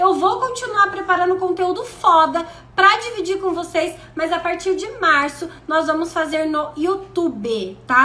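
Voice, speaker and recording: A woman's raised, projected voice, bright, sharp and animated, at an extremely high pitch with ordinary pitch variation, a fairly slow pace and audible room echo. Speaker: self-development coach. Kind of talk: live stream talk.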